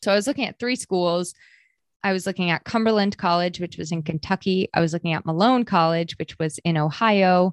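With an unremarkable speaking voice and an American accent, a woman talks at a fairly quick pace in a fairly low pitch with ordinary variation, the sound dry and close with no echo against a quiet background. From Maine and New Hampshire, US New England. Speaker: marketer and former store owner. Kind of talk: casual interview chat.

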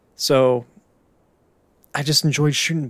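Here a man with an American accent uses an ordinary speaking voice at a moderate pace with fairly even intonation. The recording is very clean, with a silent background. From Pittsburgh, US. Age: 20s. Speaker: podcast host. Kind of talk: solo monologue.

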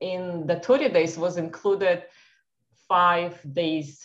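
A woman speaks very slowly in an Eastern European accent, her pitch fairly low. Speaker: doctor and holistic health practitioner. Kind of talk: casual interview. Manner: halting, repeats 'yes'.

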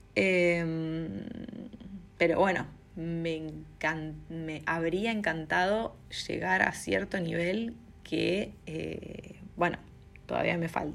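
Audible room echo follows a woman speaking at a very slow pace and fairly low pitch, with ordinary pitch variation and long, frequent pauses. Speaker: content creator, streamer and illustrator. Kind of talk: personal vlog monologue. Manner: hesitant, many fillers.

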